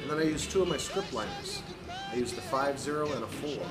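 A man is speaking. Clear music can be heard in the background. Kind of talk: tutorial. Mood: relaxed, friendly. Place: workshop. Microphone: phone near.

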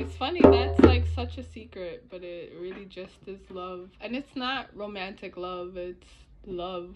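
A woman talks at a very slow pace as music plays behind her. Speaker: vlogger. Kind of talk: casual reflective vlog talk. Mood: reflective, warm. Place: home room. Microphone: phone near.

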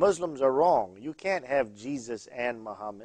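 Using a plain, everyday voice, a man talks at a fairly slow pace and medium pitch with lively intonation. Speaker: pastor and TV host. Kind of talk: call-in religious TV show. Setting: studio.

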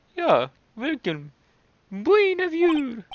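This put-on character voice is squeaky and high-pitched.

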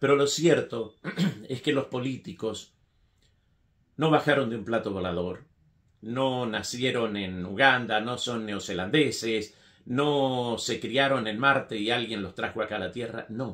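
Over a quiet background, a man talks at a fairly slow pace with a medium pitch and ordinary pitch variation. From Argentina, Mendoza; Argentina. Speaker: writer; political commentator. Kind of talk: political opinion monologue. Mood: critical, earnest. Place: home room.

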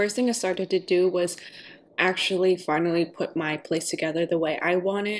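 A woman talks with fairly even intonation, keeping a moderate pace. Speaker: vlogger. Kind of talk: casual vlog chat. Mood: reflective, candid. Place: kitchen. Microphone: camera far.

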